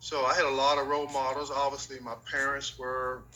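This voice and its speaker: Against noticeable background noise and audible room echo, a man with an American accent talks at a fairly quick pace in a medium pitch. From North Carolina, Gastonia. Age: 60s. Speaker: former professional basketball player. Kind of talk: interview.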